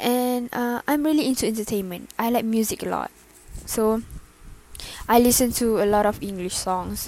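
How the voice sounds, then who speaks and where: A woman with a Malaysian accent speaks at a moderate pace with ordinary pitch variation and long, frequent pauses. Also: fairly high pitch for a woman. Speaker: podcaster. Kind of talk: casual monologue. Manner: halting.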